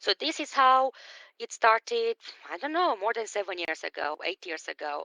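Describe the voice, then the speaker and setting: Speaking with a non-native accent, a woman uses a fairly high pitch, a bright, sharp tone and very wide pitch swings at a moderate pace, the sound dry and close with no echo against a quiet background. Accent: foreign. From Romania. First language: Romanian. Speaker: business coach. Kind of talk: live stream talk. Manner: animated.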